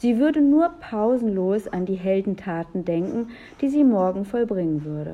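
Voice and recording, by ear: The intonation moves in a lively way. Someone reads aloud in a natural voice.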